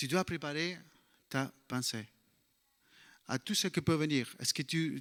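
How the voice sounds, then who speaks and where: A man speaks in a non-native accent with a bright, sharp tone. The recording is very clean, dry and close, with a silent background and no echo. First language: English (speaking French). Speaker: bible teacher. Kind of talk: sermon. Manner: halting.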